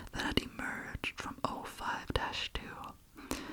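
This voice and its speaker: Over noticeable background noise, a woman whispers at a very slow pace. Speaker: ASMR creator and reader. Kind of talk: ASMR horror story reading.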